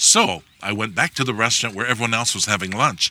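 A man with a Hawaiian accent speaks at a fairly quick pace in a bright, sharp tone. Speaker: Native Hawaiian activist. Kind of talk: personal storytelling. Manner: halting.

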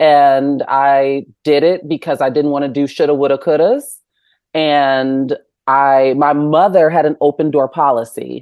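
With an American accent, a woman speaks at a fairly slow pace in a very deep, low pitch, her intonation monotone and flat and her loudness very even. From Chicago suburbs, US Midwest. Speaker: journalist. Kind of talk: casual interview chat.

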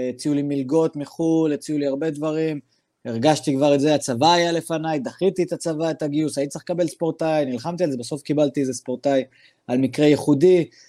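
In a very clean recording with a silent background and a dry, close sound with no echo, a man talks very fast at a fairly high pitch, his tone dark and mellow and his intonation fairly even. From Israel, Druze from Daliyat al-Karmel. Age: 20s. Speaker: MMA fighter. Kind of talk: interview.

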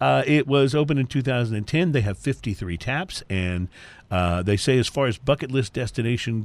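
Lively intonation marks this man's plain, everyday voice. He keeps a moderate pace. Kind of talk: radio DJ patter. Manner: upbeat, chatty, easygoing host.

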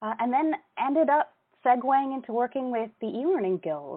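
With a Canadian accent and an unremarkable speaking voice, a woman talks at a fairly quick pace with lively intonation. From Canada, Toronto. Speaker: instructional designer and events programming manager. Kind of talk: casual interview.

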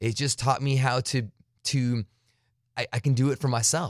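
A man's voice, dry and close with no echo, on a very clean recording with a silent background. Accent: American. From US-Mexico border, Arizona. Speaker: satellite radio host. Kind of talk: casual interview. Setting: home studio. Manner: animated.

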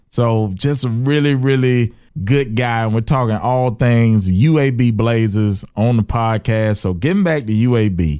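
A man with an Alabama accent and a dark, mellow tone speaks at a medium pitch and a fairly slow pace, with ordinary pitch variation and hardly any pauses. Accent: US Southern (Alabama). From Birmingham, Alabama. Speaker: comedian and podcast host. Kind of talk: casual interview chat.

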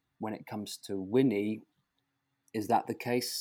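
A man speaks at a fairly slow pace. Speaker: author. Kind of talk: interview. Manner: understated.

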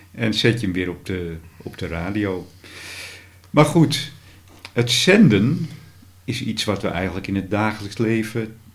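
At a fairly slow pace, a man with a fairly low pitch speaks with lively intonation and long, frequent pauses. Audible room echo is present. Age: 60s. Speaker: podcast host and radio hobbyist. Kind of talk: casual interview. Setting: at the guest's home.

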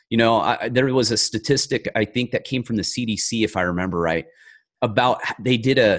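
With a normal speaking voice and an American accent, a man talks at a fairly quick pace and medium pitch, his intonation lively. The sound is dry and close with no echo, over a quiet background. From rural mountain area, US. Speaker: author and former federal agent. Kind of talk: interview.

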